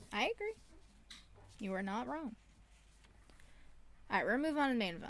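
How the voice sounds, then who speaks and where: A woman with a high voice talks very fast with lively intonation, broken by long, frequent pauses. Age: 20s. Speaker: wrestling podcast host. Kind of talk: casual chat. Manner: animated.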